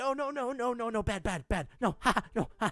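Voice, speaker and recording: Putting on a character voice, a man speaks at an extremely high pitch in a panicked tone and a fairly quick pace, captured on a very clean recording with no background sound. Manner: frantic, panicked.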